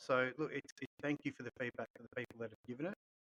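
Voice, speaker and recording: Medium-pitched male voice with an Australian accent, bright and sharp, in a dry, close sound with no echo. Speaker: golf club podcast host. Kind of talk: casual chat.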